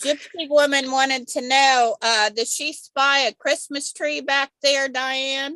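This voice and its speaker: A high-pitched woman projects a raised, bright, sharp voice at a very slow pace with hardly any pauses, her intonation fairly even, in a dry, close sound with no echo. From US Midwest, Kansas. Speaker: quilting group member. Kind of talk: casual chat. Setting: video call.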